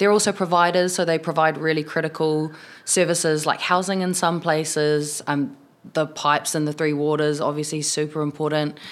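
The delivery has a moderate pace. The intonation stays fairly even. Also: woman, very deep, low pitch for a woman. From New Zealand, South Waikato (Tokoroa). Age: 20s. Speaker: city councillor. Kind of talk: casual interview. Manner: casual, many fillers.

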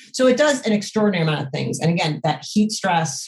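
Somewhat breathy, the voice moves with lively intonation. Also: woman. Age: 40s. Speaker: doctor running a natural therapies practice. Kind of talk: interview.

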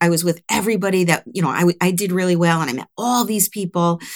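A woman speaks at a fairly quick pace in an unremarkable speaking voice. Her pitch is fairly low. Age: 60s. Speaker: recruiter, business owner. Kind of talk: interview.

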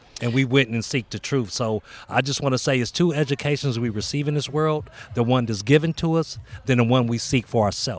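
A man's voice at medium pitch, fairly quick in pace, with ordinary pitch variation. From Altadena, California, US. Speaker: community peacemaker, non-profit co-founder. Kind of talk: interview conversation. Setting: outdoors in a park.

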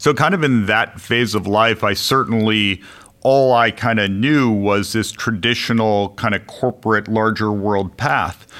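This man has a plain, everyday voice with an American accent, a fairly low pitch, ordinary pitch variation and very even loudness, speaking at a fairly slow pace. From US Midwest (Chicago). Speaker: business executive. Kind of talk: interview.

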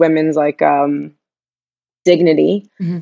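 A woman's normal speaking voice in an American accent, fairly low-pitched, with fairly even intonation. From US Northeast, Long Island, New York. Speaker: nonprofit entrepreneur and philanthropist. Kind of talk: casual interview.

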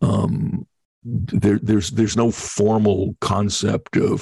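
A man's fairly low, dark and mellow voice with an American accent, vocal fry and ordinary pitch variation, in a dry, close sound with no echo. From New York, Long Island. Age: 60s. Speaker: TV producer and voiceover artist. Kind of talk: interview.

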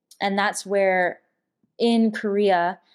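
Her pitch sits in the medium range. The woman talks in an American accent. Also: quiet background. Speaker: Air Force veteran and advocacy founder. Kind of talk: interview.

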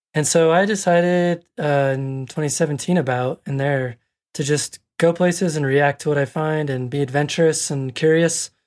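A man with an American accent and an unremarkable speaking voice talks at a moderate pace with fairly high pitch and fairly even intonation, in a very clean recording with a silent background. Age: 40s. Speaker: landscape photographer. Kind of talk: casual interview.

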